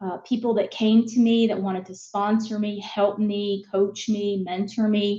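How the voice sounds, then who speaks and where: A woman with an American accent, medium in pitch and somewhat breathy, at a fairly slow pace with hardly any pauses, monotone, flat intonation and big swings in loudness. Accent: Southern US, comes out at times. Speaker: business executive. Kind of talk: interview. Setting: live broadcast.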